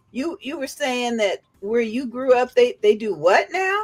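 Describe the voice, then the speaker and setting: This woman's voice sits high and moves through very wide pitch swings. She talks at a moderate pace. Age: 50s. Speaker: evangelist and livestream host. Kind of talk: fundraiser livestream panel chat.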